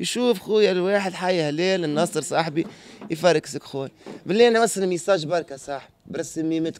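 A man's high-pitched voice at a moderate pace, dry with no echo, over light background noise. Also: ordinary pitch variation. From Tunisia. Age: young. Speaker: former drug user; interviewee. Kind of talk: street interview. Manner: animated. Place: street. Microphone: handheld.

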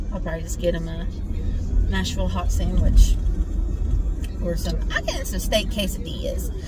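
Clear background music beneath a woman speaking at a fairly quick pace. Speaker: vlogger. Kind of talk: casual vlog chat. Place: car. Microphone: phone near.

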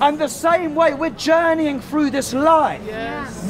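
Over light background noise, a man speaks at an extremely high pitch and a fairly slow pace. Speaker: street evangelist. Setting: outdoors on a busy city street. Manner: emphatic and repetitive, saying each prayer phrase twice so the crowd can echo it; fervent, rising, call-and-response cadence. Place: street.

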